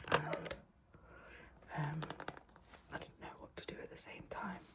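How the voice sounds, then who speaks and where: Whispering, a woman speaks against noticeable background noise. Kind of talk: casual talk to camera. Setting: home, window open, quiet room. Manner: soft-spoken, rambling.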